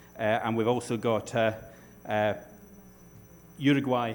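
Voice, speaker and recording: A man with a Scottish accent and ordinary pitch variation, in audible room echo. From Scotland. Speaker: panel moderator. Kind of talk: conference panel moderation.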